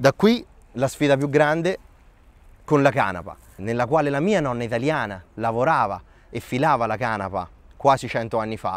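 A man at a medium pitch, lively in intonation, at a fairly quick pace, with a dry sound and no echo. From Colombia, Italy (Terni) and Thailand; settled in Terni at 15-16; Colombia. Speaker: start-up founder. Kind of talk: personal storytelling interview. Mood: calm, reflective.

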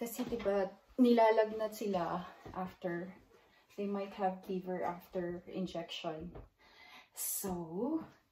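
A woman speaks at a very slow pace with long, frequent pauses and ordinary pitch variation, amid light background noise and audible room echo. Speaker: mother vlogger. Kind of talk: casual vlog chat. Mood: cheerful, warm. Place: home room. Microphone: phone near.

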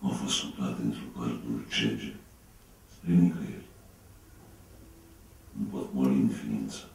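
Audible room echo surrounds a man's voice. He speaks at a very slow pace with long, frequent pauses. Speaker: actor. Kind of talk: poetry reading. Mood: grave, melancholic. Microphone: camera far.

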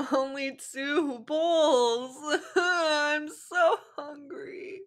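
Putting on a whiny character voice, a woman speaks loudly at a very slow pace and a high pitch. Her pitch varies in an ordinary way. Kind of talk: comic fanfic reading. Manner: whiny, loud, comic overacting.

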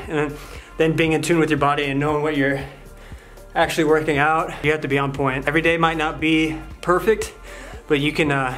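Over faint background music, a man speaks at a moderate pace in a monotone, flat intonation. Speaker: fitness vlogger. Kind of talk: casual vlog chat. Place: home room. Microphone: phone near.

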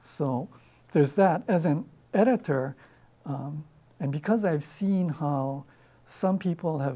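This man's somewhat breathy voice has a dark, mellow tone and ordinary pitch variation. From Hawaii. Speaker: poet. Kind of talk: interview answer. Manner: casual, hesitant. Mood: relaxed, thoughtful. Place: studio. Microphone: lapel.

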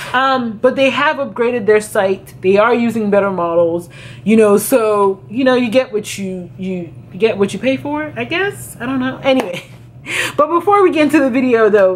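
Over light background noise, a woman talks at a moderate pace with very wide pitch swings. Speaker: fashion vlogger. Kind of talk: casual vlog chat. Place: home room.

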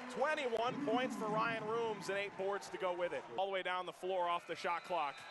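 Over clear music in the background, a man with a high pitch speaks at a moderate pace in an animated tone with ordinary pitch variation, the sound dry with no echo. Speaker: basketball play-by-play announcer. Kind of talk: live basketball commentary, highlight reel. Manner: animated, rising to shouts on big shots. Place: stadium. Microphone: headset.

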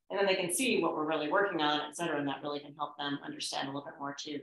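Audible room echo carries a woman's fairly bright tone and fairly even intonation.

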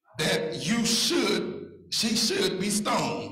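A man speaks at a very slow pace. Audible room echo surrounds his voice, and music plays in the background. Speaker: church elder preacher. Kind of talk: sermon scripture reading. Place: church. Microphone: handheld.

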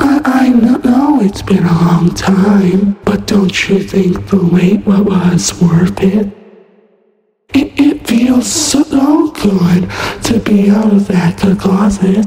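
A woman speaks very slowly in a put-on character voice at a medium pitch, with a strong echo around her. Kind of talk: fan voice acting, horror game lines. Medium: solo performance. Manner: sweetly menacing, playful then sinister.

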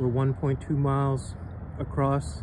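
Breathing through somewhat, a man's dark, mellow voice comes across dry with no echo over noticeable background noise. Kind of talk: property walkthrough narration. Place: waterside. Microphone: phone near.

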